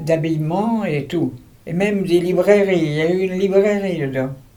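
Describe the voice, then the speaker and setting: With audible room echo, a man talks at a fairly slow pace in a high-pitched voice with a dark, mellow tone. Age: 80s+. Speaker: retired architect. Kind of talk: interview.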